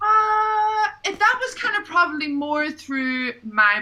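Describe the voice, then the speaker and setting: Over noticeable background noise, a woman uses a raised, projected voice with very wide pitch swings. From Shetland, Scotland; high school in Edinburgh. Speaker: jazz saxophonist. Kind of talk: casual interview chat.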